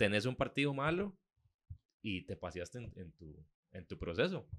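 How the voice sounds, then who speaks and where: The man talks at a fairly slow pace. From Costa Rica. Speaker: podcast co-host. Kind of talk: casual chat. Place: studio. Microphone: studio mic.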